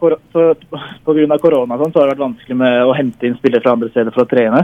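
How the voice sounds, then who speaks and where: Fairly high-pitched man at a moderate pace, ordinary pitch variation. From Norway. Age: 20s. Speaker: semi-professional footballer. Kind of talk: interview. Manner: halting.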